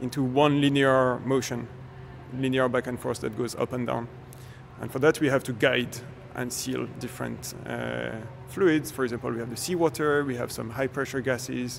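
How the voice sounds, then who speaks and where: A man's voice with fairly even intonation, music in the background. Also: moderate pace. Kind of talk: interview answer. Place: workshop.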